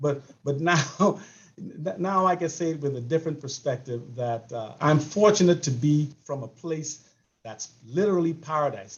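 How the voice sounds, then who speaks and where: With a Bahamian accent, a man speaks in a somewhat breathy voice at a fairly high pitch. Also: ordinary pitch variation, moderate pace. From Bahamas. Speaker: sports coach. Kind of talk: panel discussion. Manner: halting, many repeated words.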